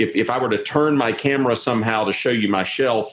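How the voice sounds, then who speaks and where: This man speaks with a Southern US accent and ordinary pitch variation. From US South. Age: 50s. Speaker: historian and theologian. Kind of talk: interview discussion. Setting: video call from home office.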